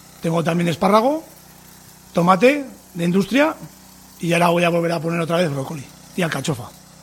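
A high-voiced man talks very fast with lively intonation yet leaves long, frequent pauses, with noticeable background noise behind him. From Navarre, Spain (Tudela). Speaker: farmer. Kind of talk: interview testimony.

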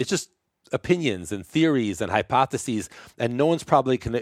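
Speaking fairly quickly in a plain, everyday voice with an American accent, the speaker shows ordinary pitch variation on a dry, close recording with no echo and a very clean, silent background. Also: man. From New York, Brooklyn. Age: 50s. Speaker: chiropractor. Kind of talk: casual interview chat.

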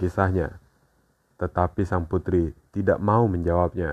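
A man talks at a moderate pace in a very deep, low pitch. Music plays in the background. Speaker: podcast host. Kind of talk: scripted narration of horror fairy tales. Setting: podcast recording.

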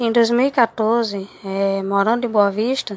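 Recorded with a dry, close sound and no echo, a woman speaks at a fairly high pitch in a monotone, flat intonation. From Roraima, northern Brazil. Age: 20s. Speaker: university student. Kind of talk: personal narrative. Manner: halting, many fillers and repetitions.

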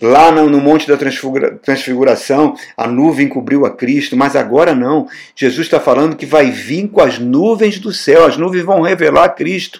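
The tone is animated, with ordinary pitch variation. The pace is fairly slow. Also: man, fairly high pitch for a man. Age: 60s. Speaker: pastor. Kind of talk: sermon.

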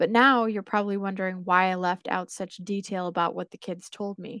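In a very clean recording with a silent background and a dry, close sound with no echo, a woman at a medium pitch speaks in a dramatic tone at a fairly quick pace with ordinary pitch variation. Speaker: podcast host and story narrator. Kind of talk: creepypasta horror narration, first-person story read aloud. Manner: measured, dramatic storytelling pace with suspenseful, ominous delivery.

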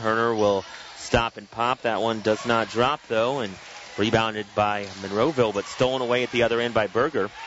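Noticeable background noise is present. Through it, a man talks in a fairly low voice. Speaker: radio play-by-play announcer. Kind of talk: live play-by-play basketball commentary, calling each pass and shot as it happens. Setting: courtside or balcony of a gym broadcasting on radio.

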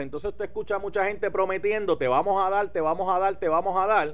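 A man talks in a Puerto Rican accent. His pitch variation is ordinary. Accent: Puerto Rican accent when speaking English. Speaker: radio talk show host. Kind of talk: talk radio commentary and interview.

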